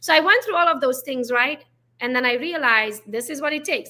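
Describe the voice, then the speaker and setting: Very fast and high-pitched, a woman uses a raised, projected voice with an animated, bright, sharp tone and lively intonation. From Romania, Transylvania (Hungarian). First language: Hungarian. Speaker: real estate agent. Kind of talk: podcast interview.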